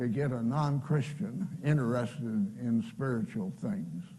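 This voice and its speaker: Very slowly, a man speaks in a fairly high, somewhat breathy voice with a dark, mellow tone. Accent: American. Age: 80s+. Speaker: pastor and World War II veteran. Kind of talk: personal testimony talk.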